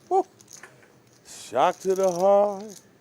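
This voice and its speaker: A man's intonation rises and falls in a lively way while clear background noise carries on behind him. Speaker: poker commentator. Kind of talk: live commentary. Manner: loud.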